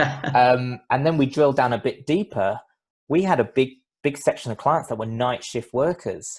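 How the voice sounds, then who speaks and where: With music in the background, a man in a London accent speaks at a moderate pace with a fairly high pitch and ordinary pitch variation. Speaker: business CEO and former lawyer. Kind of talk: podcast interview.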